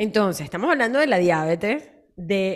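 A woman with an ordinary speaking voice talks at a medium pitch and moderate pace. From Latin America. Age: 40s. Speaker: health and nutrition podcast host. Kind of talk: casual health chat.

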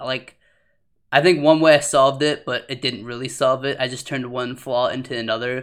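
The man speaks at a medium pitch and a fairly quick pace. His loudness swings widely. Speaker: podcast host. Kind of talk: casual chat. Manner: animated, laughs often.

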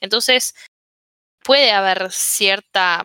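A woman speaks at a medium pitch with ordinary pitch variation in an unremarkable speaking voice. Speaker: podcast co-host. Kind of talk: casual chat.

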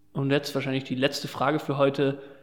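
A man speaks over noticeable background noise. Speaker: podcast host. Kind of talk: casual interview. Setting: large empty side room at concert venue. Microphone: room echo and open window audible.

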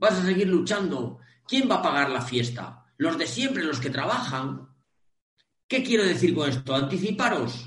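Audible room echo surrounds a man speaking at a fairly slow pace and fairly high pitch with very wide pitch swings. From Spain, Cantabria. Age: 50s. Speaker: online training business founder, transport trainer. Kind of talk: interview. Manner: animated.

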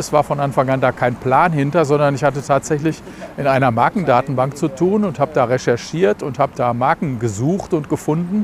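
Over noticeable background noise, a man with a fairly high pitch and ordinary pitch variation speaks fairly quickly. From Germany, Dortmund. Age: 60s. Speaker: brewery managing director. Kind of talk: interview.

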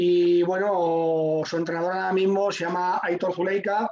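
With a Madrid accent, a man keeps his high pitch on fairly even intonation. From Madrid, Spain. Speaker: radio host. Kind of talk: casual chat.

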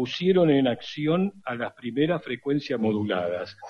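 A man talks at a fairly slow pace. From Argentina, Buenos Aires. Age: 60s. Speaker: radio historian and lecturer. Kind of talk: interview.

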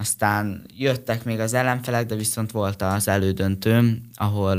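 A man with a fairly low pitch speaks very slowly, his intonation fairly even. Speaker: karate athlete. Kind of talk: radio interview.

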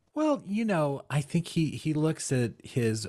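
With an American accent, a man speaks at a fairly slow pace in a dark, mellow tone against a quiet background. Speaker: podcast co-host. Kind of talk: casual chat.

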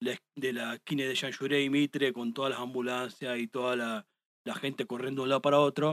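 A man with an unremarkable speaking voice talks at a moderate pace, his medium pitch and fairly even intonation captured in a dry, close sound with no echo. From Argentina, La Pampa province. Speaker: live music photographer. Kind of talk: casual chat. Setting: studio.

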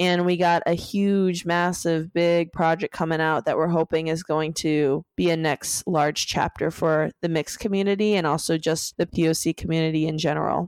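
On a very clean recording with a silent background, a woman talks at a moderate pace with a fairly low pitch. She barely pauses and keeps her loudness very even. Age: 20s. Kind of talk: casual chat. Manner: animated.

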